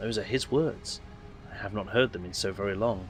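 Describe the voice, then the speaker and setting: A man puts on a raspy character voice, fairly low in pitch, at a moderate pace. Background noise is clearly audible. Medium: game stream. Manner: formal, mechanical phrasing.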